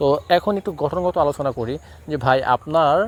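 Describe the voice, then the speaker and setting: This man has a fairly high voice with ordinary pitch variation, a plain, everyday voice. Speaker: cattle farmer and YouTuber. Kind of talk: vlog tutorial. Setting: at home farm.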